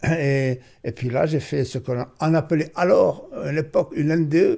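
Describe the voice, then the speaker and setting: The man's tone is dark and mellow, pitched fairly high. He keeps a moderate pace. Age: 80s+. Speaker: author and near-death experience witness. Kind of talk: interview. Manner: halting.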